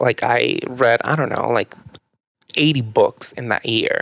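A man in a Mexican accent, animated in tone at a fairly slow pace, with dry, close sound and no echo. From northern Mexico. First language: Spanish. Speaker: yoga and meditation teacher. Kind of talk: casual chat.

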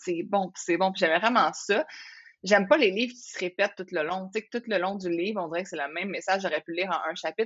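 A woman speaks at medium pitch with a Quebec accent. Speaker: entrepreneur, former lawyer. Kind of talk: casual interview chat.

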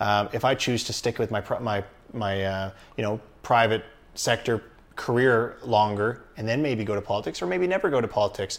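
A man speaks in an unremarkable speaking voice with a Canadian accent. His pitch is medium, his pitch variation ordinary and his pace moderate. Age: 30s. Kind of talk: casual interview.

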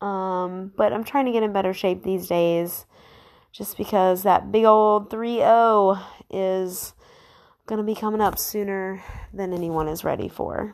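In a very clean recording with a silent background, a woman with an ordinary speaking voice talks at a fairly slow pace with fairly even intonation. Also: medium pitch for a woman. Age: 20s. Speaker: solo podcaster. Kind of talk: casual monologue.

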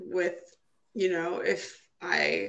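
In an Upper Midwest accent, a woman speaks at a very slow pace. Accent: Upper Midwest American. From Minnesota, US Midwest. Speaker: trombonist and cancer survivor. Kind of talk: interview. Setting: phone call.

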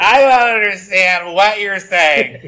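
In a put-on character voice, a man projects loudly at a high pitch and a fairly slow pace over light background noise.

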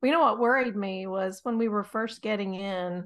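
A woman with an American accent talks at a moderate pace in a normal speaking voice, medium in pitch with ordinary pitch variation. The background is quiet. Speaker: podcast host. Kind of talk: casual chat. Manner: laughs often, conversational.

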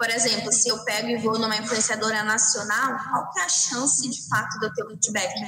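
A woman's fairly high voice at a moderate pace, with audible room echo and noticeable background noise. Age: 20s. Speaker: influencer marketing agency manager. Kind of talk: casual interview.

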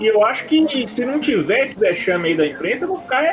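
Music plays in the background. The voice moves at a fairly quick pace with very wide pitch swings. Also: man. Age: 30s. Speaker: sports podcast host. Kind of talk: casual chat.

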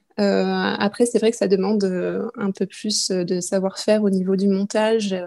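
A woman talks at a medium pitch with a dark, mellow tone. Her delivery is fairly slow and monotone, flat against a quiet background. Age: 20s. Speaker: knitting podcaster. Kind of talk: casual interview chat. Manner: hesitant, many fillers.

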